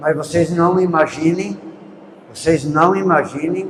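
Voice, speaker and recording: There is noticeable background noise as a man speaks with a fairly high pitch and ordinary pitch variation. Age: 80s+. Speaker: veteran rural movement leader, speaker. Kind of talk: talk at a public event.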